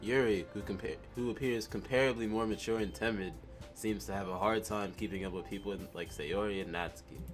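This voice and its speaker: Over background music, a man talks at a fairly quick pace in a fairly low voice. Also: ordinary pitch variation. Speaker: game playthrough reader. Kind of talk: reading a visual novel aloud.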